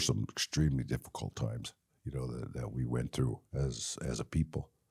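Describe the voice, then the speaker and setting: Talking at a fairly quick pace, a man with an American accent has a dark, mellow tone with vocal fry. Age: 70s. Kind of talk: interview reminiscence. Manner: halting, many fillers.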